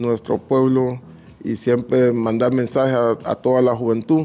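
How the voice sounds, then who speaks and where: A man talks at a fairly slow pace. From Honduras, Garifuna community on north coast. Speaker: entrepreneur. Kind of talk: interview.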